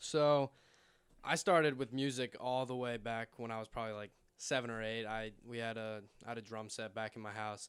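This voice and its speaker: Captured in a very clean recording with a silent background, a man with an American accent speaks in an ordinary speaking voice at a moderate pace with fairly even intonation. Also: medium pitch for a man. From Florida, Boca Raton. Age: young. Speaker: DJ and music producer, college student. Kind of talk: casual chat. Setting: studio.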